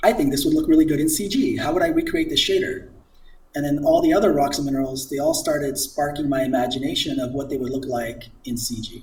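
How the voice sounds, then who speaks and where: Audible room echo follows a man as he speaks at a very fast pace. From immigrant to the US as a child. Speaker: CG artist and children's book author. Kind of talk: casual interview chat. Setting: live stream.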